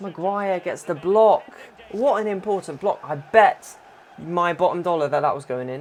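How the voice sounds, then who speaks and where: Speaking in a British accent, a man with a high-pitched voice sounds animated, with ordinary pitch variation. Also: moderate pace. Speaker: gaming YouTuber. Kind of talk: gameplay commentary. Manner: quieter than usual.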